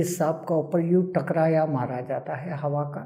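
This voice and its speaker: A man's fairly high voice has a dark, mellow tone and ordinary pitch variation. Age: 80s+. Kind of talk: interview answer.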